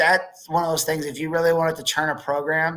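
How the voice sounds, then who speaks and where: Very fast speech from a man, fairly high in pitch, with a bright, sharp tone. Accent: slight Chicago. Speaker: wrestling podcast host. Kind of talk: casual sports chat.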